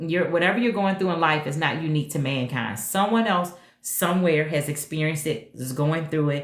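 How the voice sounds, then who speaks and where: A woman speaks at a moderate pace in a very deep, low pitch with ordinary pitch variation. Audible room echo and noticeable background noise surround her. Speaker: retired nurse turned digital marketer. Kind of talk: livestream chat. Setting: TikTok live stream. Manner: casual, upbeat.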